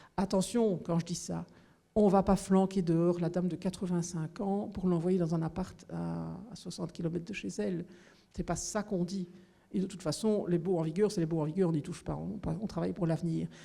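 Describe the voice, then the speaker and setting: At a fairly quick pace, a woman talks with vocal fry in a fairly low voice. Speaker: regional housing minister. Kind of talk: political town hall talk. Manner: animated.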